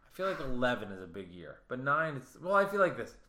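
A man's bright, sharp tone with lively intonation at a moderate pace, plus audible room echo. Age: 30s. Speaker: podcast host. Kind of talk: casual chat.

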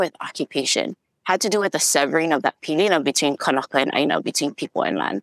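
A woman speaks at a very deep, low pitch with ordinary pitch variation. The sound is dry and close, with no echo. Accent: Hawaiian. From Hawaii. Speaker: community organizer. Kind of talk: interview.

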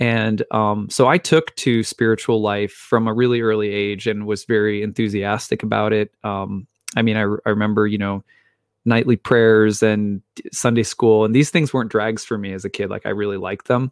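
In an American accent, a man talks at a moderate pace with fairly even intonation. His pitch is fairly low. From US Midwest. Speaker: author and astrologer. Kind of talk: interview.

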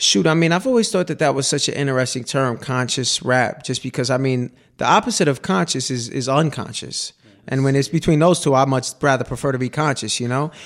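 A man with an ordinary speaking voice, fairly high pitched and fairly quick, with ordinary pitch variation and big swings in loudness, in a very clean recording with a silent background. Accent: American. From New York City. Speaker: rapper. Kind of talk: radio interview chat. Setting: radio studio.

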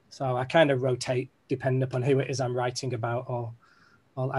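Somewhat breathy, a man talks in a Mancunian accent. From Manchester, England. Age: 40s. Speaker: business leader and keynote speaker. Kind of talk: keynote talk. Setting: video call.

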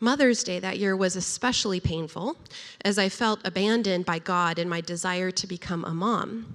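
Using an ordinary speaking voice, a woman at medium pitch talks at a moderate pace with ordinary pitch variation. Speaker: storyteller. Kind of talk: personal testimony.

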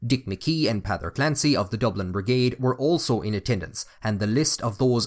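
In an Irish accent, a man speaks fairly quickly at medium pitch with ordinary pitch variation, on a very clean recording with a silent background. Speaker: podcast host and narrator. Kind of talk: history documentary narration. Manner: formal, measured, storytelling delivery; serious, even-paced.

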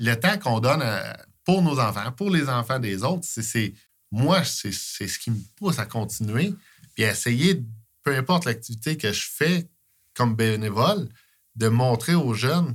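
A somewhat breathy man at a fairly slow pace, on a very clean recording with a silent background. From Quebec, Eastern Townships. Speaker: sports coach, volunteer. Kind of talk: casual interview chat.

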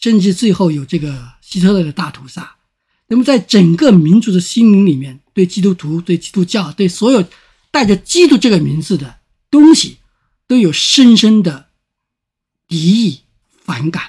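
A man talks at a moderate pace and high pitch with lively intonation. His speech has long, frequent pauses. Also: very clean recording, silent background. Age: 50s. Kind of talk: interview conversation.

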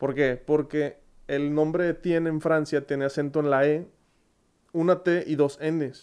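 Against a quiet background, a man with a fairly high pitch speaks at a moderate pace with fairly even intonation. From Monterrey, Mexico. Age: 20s. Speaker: podcast host. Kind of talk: casual Q&A monologue.

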